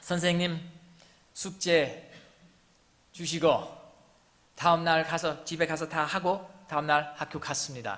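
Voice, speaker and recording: A man with a slight non-native accent speaks at a very slow pace in a high voice, leaving long, frequent pauses, with audible room echo. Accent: non-native Korean, good pronunciation. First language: English (speaking Korean). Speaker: missionary pastor. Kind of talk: sermon.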